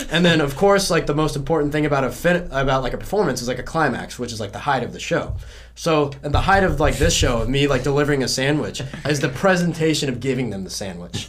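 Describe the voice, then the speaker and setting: Over noticeable background noise, a man talks very fast with an American accent, a fairly high pitch and ordinary pitch variation. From South Carolina. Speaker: music student and drummer.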